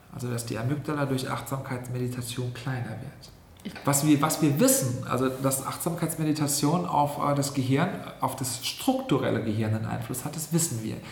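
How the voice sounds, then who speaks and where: A man with a medium-pitched voice speaks at a moderate pace with fairly even intonation, with audible room echo and noticeable background noise. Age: 40s. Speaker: health scientist and yoga teacher. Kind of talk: interview. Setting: in person, seated next to host.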